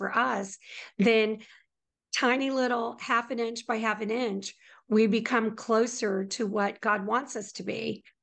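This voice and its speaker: An unremarkable speaking voice at a moderate pace, fairly even in intonation, over a quiet background. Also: woman. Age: middle-aged. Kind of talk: faith interview.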